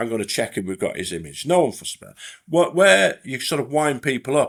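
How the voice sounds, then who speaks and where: A man speaks with a Lancashire accent. His pace is fairly quick. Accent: Bolton. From northern England, Bolton. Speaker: retired police detective, forensic identification expert. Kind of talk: podcast interview. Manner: halting, many fillers and restarts.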